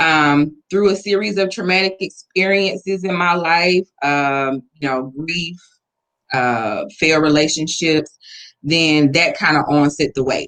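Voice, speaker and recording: A woman with an Atlanta accent has a very deep, low voice with ordinary pitch variation. She speaks at a fairly slow pace. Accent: Southern US (Atlanta). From US South, Atlanta. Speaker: weight loss interviewee. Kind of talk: interview.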